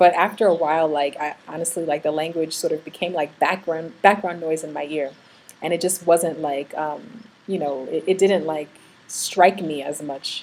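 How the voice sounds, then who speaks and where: A woman with an American accent has a very deep, low pitch and fairly even intonation. Her loudness swings a great deal. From New York. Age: 30s. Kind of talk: casual vlog talk. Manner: fast; hesitant with fillers.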